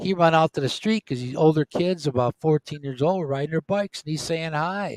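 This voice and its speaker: A man speaks in an ordinary speaking voice, pitched fairly high, with lively intonation. The sound is dry and close with no echo. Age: 60s. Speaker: retiree co-host of a live stream. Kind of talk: casual chat. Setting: live stream.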